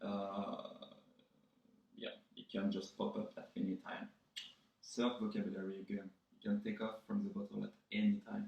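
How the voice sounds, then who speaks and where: A man with a slight French accent at a moderate pace, broken by long, frequent pauses. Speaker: vlogger. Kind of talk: tutorial. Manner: casual, joking.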